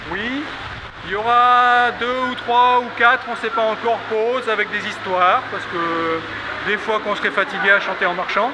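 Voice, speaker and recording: Over noticeable background noise, a man with an extremely high voice speaks in a raised, projected way with ordinary pitch variation. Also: moderate pace. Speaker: walk leader and traditional singing organizer. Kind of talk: outdoor group briefing. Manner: casual, conversational; not very loud.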